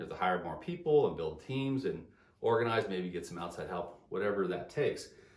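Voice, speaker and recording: Somewhat breathy, a man speaks at a medium pitch. Audible room echo is heard. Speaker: engineering business consultant. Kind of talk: solo video talk. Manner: fast; halting, repeated words.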